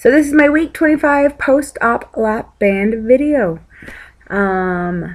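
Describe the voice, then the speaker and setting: Very slowly, a woman speaks in a high pitch. Her pitch swings very widely. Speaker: weight loss vlogger. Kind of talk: casual vlog. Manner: rambling, filler-heavy.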